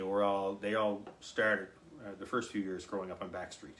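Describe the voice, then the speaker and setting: A man talks in a Cape Breton accent with a fairly low pitch. There is audible room echo. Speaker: fiddler. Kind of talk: casual chat.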